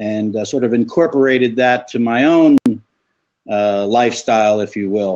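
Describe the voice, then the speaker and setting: A man's ordinary speaking voice at a fairly slow pace, with ordinary pitch variation. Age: 60s. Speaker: viewer joining the live chat. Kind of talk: casual discussion.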